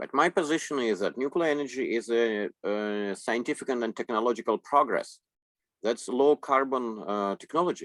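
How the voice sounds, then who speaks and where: With a Russian accent, a man speaks at medium pitch with ordinary pitch variation, captured in a very clean recording with a silent background and a dry, close sound with no echo. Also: moderate pace. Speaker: interpreter. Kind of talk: consecutive interpreting. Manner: halting.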